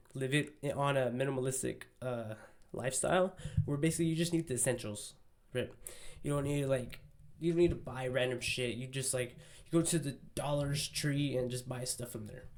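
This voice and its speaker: This man speaks in an American accent at a medium pitch. His pace is fairly quick and his intonation fairly even. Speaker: mental health and self-improvement vlogger. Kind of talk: casual monologue. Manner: fast.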